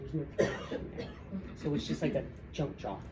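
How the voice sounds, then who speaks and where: A woman's very deep, low voice with fairly even intonation, audible room echo and noticeable background noise. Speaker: teacher presenting a workshop to educators. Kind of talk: workshop presentation. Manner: fast.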